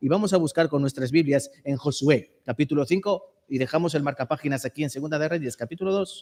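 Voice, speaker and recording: Using an unremarkable speaking voice, a man talks at a fairly quick pace with a fairly high pitch and ordinary pitch variation, in a dry, close sound with no echo. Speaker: preacher. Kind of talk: sermon.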